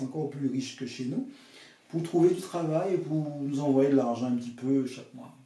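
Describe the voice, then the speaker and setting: A man talks at a moderate pace with fairly even intonation and a fairly high pitch. Audible room echo is present. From Dominica (Caribbean). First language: English or Dominican creole (speaking French). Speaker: author and pastoral counselor. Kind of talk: interview, life story. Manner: hesitant, many fillers.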